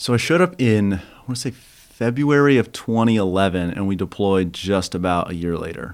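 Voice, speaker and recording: A man with an ordinary speaking voice talks at a fairly quick pace, his fairly low pitch rising and falling in lively intonation, on a very clean recording with a silent background. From Kansas. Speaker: war veteran. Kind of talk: interview.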